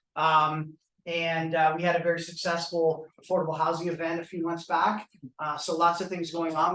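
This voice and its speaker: Loud and fairly quick, a man delivers a bright, sharp tone at a high pitch, his intonation monotone and flat. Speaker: venue sponsor representative. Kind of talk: welcome speech. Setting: live event with audience.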